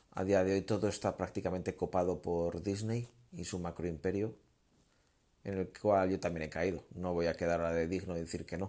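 Very clean recording, silent background, of a man with a very deep, low pitch. His tone is dark and mellow, his intonation monotone and flat. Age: 30s. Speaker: amateur podcaster. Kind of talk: solo monologue. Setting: lying in bed. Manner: relaxed, rambling.

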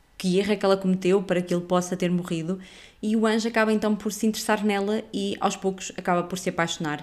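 Talking very fast, a woman with a European Portuguese accent keeps a medium pitch and fairly even intonation. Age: 30s. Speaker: podcast host, film reviewer. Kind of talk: casual review monologue.

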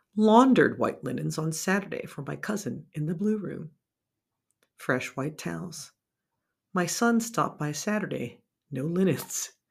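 A woman with a fairly low pitch and vocal fry uses lively intonation. She keeps a moderate pace, broken by long, frequent pauses. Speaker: podcast host and producer. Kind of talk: scripted personal essay narration.

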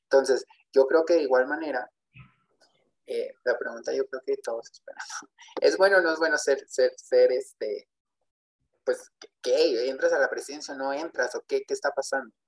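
The sound is dry and close, with no echo. A man talks at a moderate pace with long, frequent pauses. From Texas. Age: 20s. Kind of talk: testimony.

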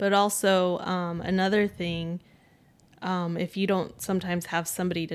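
Speaking at a moderate pace, a woman has an unremarkable speaking voice, a fairly low pitch and fairly even intonation, on a very clean recording with a silent background. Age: 30s. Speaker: energy healer, host's wife. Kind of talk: casual chat.

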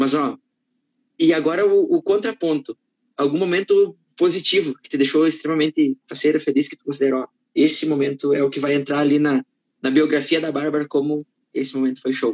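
A man with a southern Brazilian accent, a fairly high pitch and big swings in loudness, in a dry, close sound with no echo. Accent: gaúcho Portuguese. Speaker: live-stream host. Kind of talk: live-stream interview. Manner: animated.

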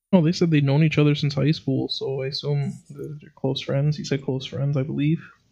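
A man's fairly high, somewhat breathy voice with a dark, mellow tone and monotone, flat intonation. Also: fairly quick pace, hardly any pauses. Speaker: podcast co-host. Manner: joking, casual.

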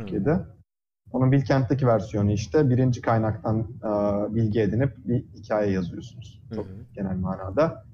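Somewhat breathy and dark, mellow in tone, a man speaks at a medium pitch and a moderate pace with ordinary pitch variation. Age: 20s. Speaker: physics PhD student. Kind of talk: casual interview. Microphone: audio cutting out on Discord.

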